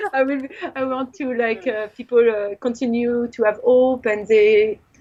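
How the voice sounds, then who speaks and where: In a strong French accent, a woman with a high pitch speaks at a fairly slow pace. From France. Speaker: film director and visual artist. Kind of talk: interview. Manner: animated.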